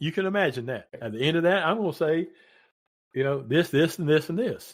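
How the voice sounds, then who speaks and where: With a Southern West Virginia accent, a man talks at a fairly quick pace. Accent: Southern West Virginia, noticeable. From Southern West Virginia (Williamson). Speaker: retired paramedic and radio DJ. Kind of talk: casual interview chat.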